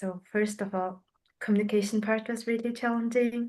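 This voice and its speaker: With a non-native accent, a woman speaks in a dark, mellow tone and a monotone, flat intonation. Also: quiet background. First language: not English. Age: young. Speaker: youth climate grant recipient. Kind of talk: interview. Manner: halting.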